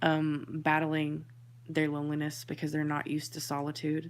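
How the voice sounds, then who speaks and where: Over music in the background, the voice moves at a moderate pace in a monotone, flat intonation. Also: woman. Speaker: tarot reader and spiritual medium. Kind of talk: tarot reading monologue. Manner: hesitant, many fillers; quiet, thoughtful.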